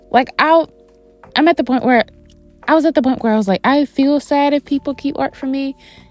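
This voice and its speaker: A woman with a Southern US accent, dry, close sound with no echo, and music in the background. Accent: Southern US twang. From US South. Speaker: artist, art YouTuber. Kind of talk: casual vlog narration. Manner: chatty, tangential.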